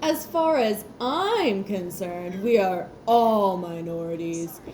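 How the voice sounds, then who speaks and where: Someone performs in a put-on character voice at a fairly slow pace. Clear background noise is audible. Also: female-sounding voice, medium pitch for a woman. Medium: read story. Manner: smug, composed.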